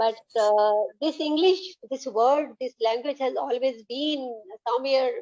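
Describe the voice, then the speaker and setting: A woman's high-pitched voice, dark and mellow in tone, at a fairly slow pace with ordinary pitch variation. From Punjab, India. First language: Punjabi. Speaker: English learner. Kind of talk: casual chat. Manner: halting.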